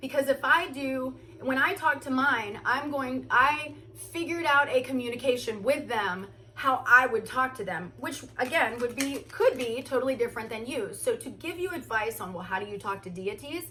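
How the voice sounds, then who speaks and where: Her raised, projected voice sits at a high pitch, moving at a moderate pace as a woman whose loudness swings widely. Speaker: spiritual content creator. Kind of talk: casual chat. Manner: halting.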